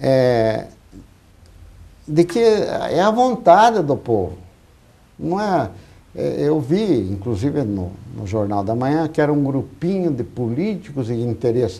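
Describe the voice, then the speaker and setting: His voice has a dark, mellow tone at medium pitch, with very wide pitch swings. The man speaks at a very slow pace with long, frequent pauses. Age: 70s. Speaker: professor and citizen activist. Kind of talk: TV debate. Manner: halting.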